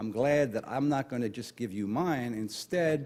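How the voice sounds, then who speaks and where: A man with a New York accent is heard on a very clean recording with a silent background. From New York (Brooklyn). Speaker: retired Marine officer and conference speaker. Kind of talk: conference talk. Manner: fast.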